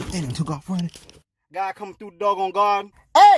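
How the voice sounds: This is a natural reading voice with fairly even intonation. The background is quiet.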